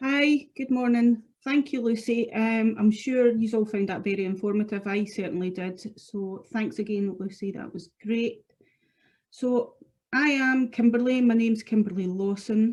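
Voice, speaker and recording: A woman talks at a moderate pace with a Scottish accent. Her voice is fairly high, somewhat breathy and fairly even in intonation. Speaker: product specialist. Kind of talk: webinar product presentation. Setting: online webinar.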